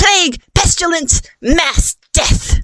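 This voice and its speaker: This female-sounding voice is a put-on character voice. Its pitch is extremely high. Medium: read story. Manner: bold, theatrical in disguise.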